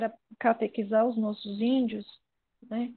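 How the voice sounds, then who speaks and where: A woman's fairly high-pitched voice. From São Paulo city, Brazil. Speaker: viola player and musician. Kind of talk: interview conversation.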